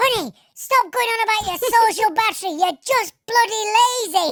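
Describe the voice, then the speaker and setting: A put-on character voice, squeaky and extremely high in pitch, speaks at a moderate pace. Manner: scolding, cheeky.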